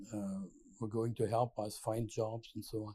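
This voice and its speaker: A man with a German accent speaks in a dark, mellow tone that is somewhat breathy. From Germany (Berlin). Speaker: landscape architect. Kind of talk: oral history interview. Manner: halting, many hesitations.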